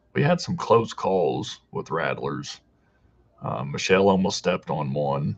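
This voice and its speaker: In a Deep South accent, a man speaks with a very deep, low pitch and vocal fry. His pace is fairly slow, and his pitch swings very widely. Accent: sounds like from the deep south. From Southern Illinois. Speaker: hiking youtuber. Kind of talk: live stream chat reading comments. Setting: live video stream from home.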